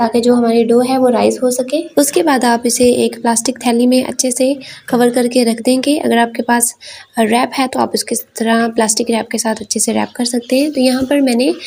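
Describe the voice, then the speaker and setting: A high-pitched woman's voice with a dark, mellow tone and very even loudness. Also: moderate pace. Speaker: cooking channel host. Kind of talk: cooking tutorial. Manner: hesitant fillers (uh).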